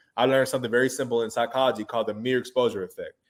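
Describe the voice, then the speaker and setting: A man with a Houston accent speaks at a medium pitch with ordinary pitch variation. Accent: Houston Texas American English. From Texas, Houston. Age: 30s. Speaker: recording artist and producer. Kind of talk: interview. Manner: casual.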